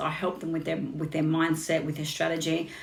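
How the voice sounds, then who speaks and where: A woman with an Australian accent, fairly low in pitch and very fast, with audible room echo. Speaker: business coach. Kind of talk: casual chat. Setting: Instagram live stream.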